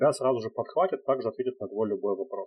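Somewhat breathy, a man at medium pitch speaks at a fairly quick pace. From Russia, Nizhny Novgorod. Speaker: head of customer support. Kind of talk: casual interview.

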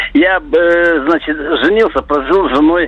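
There is noticeable background noise behind the speaker. A man talks at a very slow pace. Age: 60s. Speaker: caller. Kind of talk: casual phone call. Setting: phone call.

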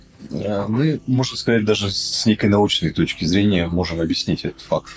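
A man's fairly low voice with lively intonation at a fairly slow pace, amid noticeable background noise. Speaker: serial entrepreneur. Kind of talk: casual chat.

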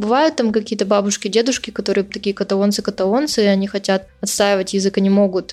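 At a very fast pace, a woman speaks with fairly even intonation and a medium pitch. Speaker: podcaster who emigrated to Spain. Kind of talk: interview. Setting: remote call.

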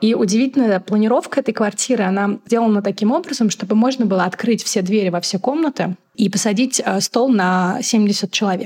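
A woman's somewhat breathy, fairly high voice at a moderate pace, with ordinary pitch variation and very even loudness. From Moscow, Russia. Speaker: magazine editor and travel blogger. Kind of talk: casual interview conversation.

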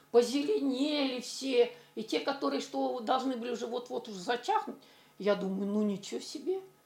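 Fairly high-pitched female speech, lively in intonation and moderate in pace, against noticeable background noise. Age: 60s. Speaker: retiree. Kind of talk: testimonial.

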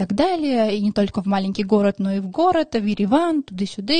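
Her voice is dark and mellow, fairly high for a woman, and somewhat breathy. The sound is dry and close, with no echo. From Armenia, then Moscow from age 5. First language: Armenian (speaking Russian). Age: 20s. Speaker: podcast host and social media creator. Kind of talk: casual monologue. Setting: studio.

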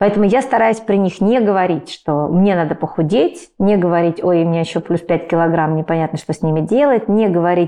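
Her pitch fairly low with ordinary pitch variation, a woman with a dark, mellow tone speaks at a fairly quick pace. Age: 40s. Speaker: writer and parenting blogger. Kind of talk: interview conversation.

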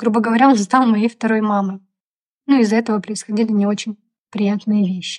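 Dry, close sound with no echo, a woman's fairly high, somewhat breathy voice, monotone and flat, at a fairly quick pace broken by long, frequent pauses. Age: 30s. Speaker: podcast co-host. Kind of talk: casual chat.

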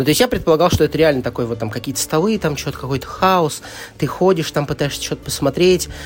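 Speech races by at a very fast pace with lively intonation. Noticeable background noise sits underneath. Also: man, fairly high pitch for a man. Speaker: board game publisher marketing director. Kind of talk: casual interview. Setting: board game festival venue. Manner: talkative.

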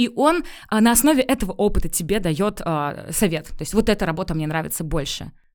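A woman speaks at a medium pitch and a fairly quick pace, her pitch swinging very widely. The recording is very clean, with a silent background. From Pskov region, Russia. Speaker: personal branding consultant. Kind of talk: interview. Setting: studio.

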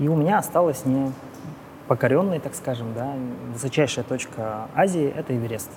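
At a moderate pace with long, frequent pauses, a man speaks at a medium pitch. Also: ordinary pitch variation. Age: 40s. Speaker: business executive and amateur triathlete. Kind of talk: casual chat.

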